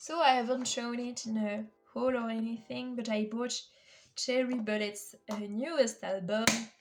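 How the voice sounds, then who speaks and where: Her voice fairly high in pitch, a woman speaks at a moderate pace with fairly even intonation. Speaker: K-pop photocard collector vlogger. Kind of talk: casual chat. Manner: hesitant, many fillers.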